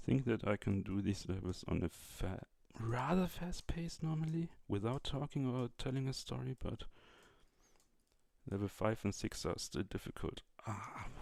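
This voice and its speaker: A man with a German accent, medium in pitch, lively in intonation, at a moderate pace. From Germany. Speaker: YouTuber. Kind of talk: casual chat. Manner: halting.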